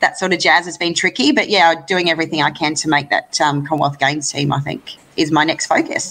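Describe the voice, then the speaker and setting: Talking very fast with hardly any pauses, a woman with an Australian accent has a bright, sharp tone, a fairly low pitch and ordinary pitch variation. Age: 30s. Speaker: lawn bowls player. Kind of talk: interview.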